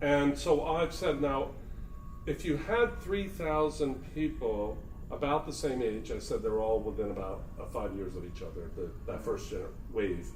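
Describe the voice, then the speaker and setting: Noticeable background noise and audible room echo around a man at a moderate pace. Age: 60s. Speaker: spiritual community speaker. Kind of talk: casual talk. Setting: talk at a spiritual center.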